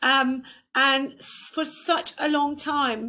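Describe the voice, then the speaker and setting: In a raised, projected voice, a woman speaks at a very slow pace. Her tone is bright and sharp, with fairly even intonation. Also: very clean recording, silent background. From Turkey. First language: Turkish. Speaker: podcast host. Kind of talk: interview.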